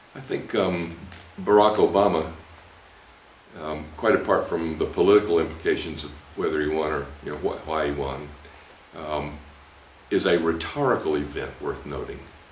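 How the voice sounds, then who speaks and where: A man pauses long and often while speaking at a moderate pace over noticeable background noise. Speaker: preaching professor. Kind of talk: interview answer, reflective commentary. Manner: thoughtful, measured, with filler words.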